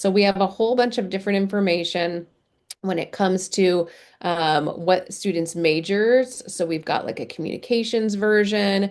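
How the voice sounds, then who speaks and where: In an ordinary speaking voice, a woman speaks at a medium pitch with ordinary pitch variation against a quiet background. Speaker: career center director. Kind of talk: webinar presentation. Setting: video call. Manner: many filler words.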